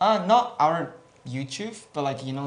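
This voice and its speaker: With a non-native accent, a somewhat breathy man speaks at a fairly slow pace with lively intonation, and audible room echo can be heard. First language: Japanese. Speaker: gaming guild representative. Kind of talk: Q&A interview. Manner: hesitant, many fillers.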